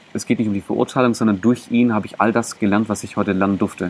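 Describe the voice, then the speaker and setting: This man's voice is fairly low, and noticeable background noise can be heard around it. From Germany, Greek parents. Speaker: mental coach and body language coach. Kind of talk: interview. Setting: outdoors in a park. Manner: animated.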